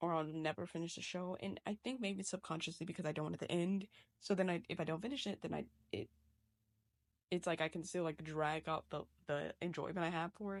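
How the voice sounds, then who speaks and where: A woman speaks at a fairly quick pace in a fairly low voice with ordinary pitch variation. The sound is dry and close with no echo, over a quiet background. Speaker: digital artist. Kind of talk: casual chat. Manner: fast; animated.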